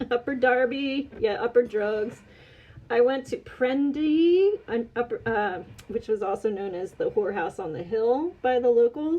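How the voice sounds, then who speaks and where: Speaking in an American accent, a woman uses lively intonation and a high pitch at a fairly slow pace. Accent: Philadelphia (Delco), comes out at times. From US, Delaware County near Philadelphia. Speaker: podcast guest, online store owner. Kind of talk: casual chat.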